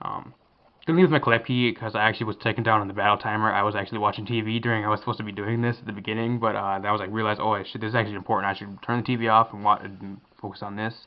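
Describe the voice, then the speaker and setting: Talking at a very fast pace, a man keeps a fairly low pitch and a monotone, flat intonation. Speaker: gaming commentator. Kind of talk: live gameplay commentary. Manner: casual, filler-heavy.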